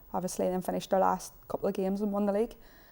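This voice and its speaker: This voice has a dark, mellow tone and a Northern Irish accent, captured in a very clean recording with a silent background. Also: woman. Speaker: footballer and youth coach. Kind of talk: studio interview. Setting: TV studio.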